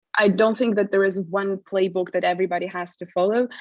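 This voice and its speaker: In a Russian accent, a woman at medium pitch speaks with fairly even intonation against a quiet background. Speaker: privacy awareness manager. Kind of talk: conference presentation. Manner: hesitant, many fillers.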